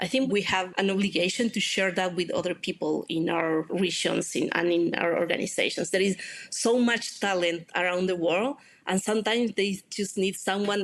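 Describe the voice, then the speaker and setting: A woman with a Spanish accent keeps her loudness very even. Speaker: open-source community manager. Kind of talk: podcast interview.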